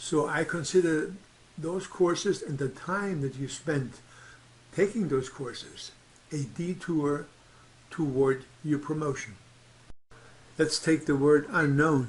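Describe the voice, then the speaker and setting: A man speaks at a very slow pace with a non-native accent and a fairly high pitch. He makes long, frequent pauses, and his pitch varies in an ordinary way. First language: not English. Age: 70s. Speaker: astrology teacher. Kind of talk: tutorial.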